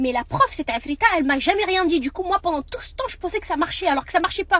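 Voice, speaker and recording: With noticeable background noise behind her, a woman speaks very fast at an extremely high pitch, her pitch swinging very widely. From France, partly raised in Marrakech. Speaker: vlogger. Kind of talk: storytelling. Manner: casual, halting.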